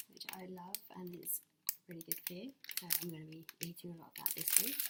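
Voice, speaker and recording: Soft-spoken and fairly low in pitch, a woman talks at a fairly quick pace over noticeable background noise. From England. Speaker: ASMR creator. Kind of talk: ASMR shopping haul talk to camera. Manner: quiet, soft-spoken.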